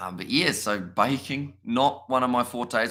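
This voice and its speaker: A bright, sharp tone with a New Zealand accent at a moderate pace, in a very clean recording with a silent background. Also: man. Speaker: streamer interviewer. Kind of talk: casual chat on live stream.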